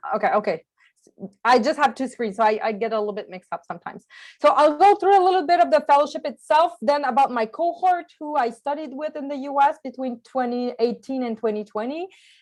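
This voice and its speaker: Over a silent background in a very clean recording, a woman with a French accent talks very fast in a high voice, with lively intonation and big swings in loudness. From Quebec, small village on the St. Lawrence. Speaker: journalist and peace fellow. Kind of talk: presentation to a club. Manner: halting.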